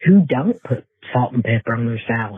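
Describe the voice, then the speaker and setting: A man talks at a moderate pace. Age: 60s. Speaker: caller. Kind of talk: voicemail message.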